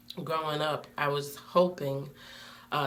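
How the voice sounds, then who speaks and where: There is noticeable background noise and audible room echo. A woman with an American accent speaks at a very deep, low pitch. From Connecticut, Bridgeport. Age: 30s. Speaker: student. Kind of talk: self-introduction video. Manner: hesitant, many fillers.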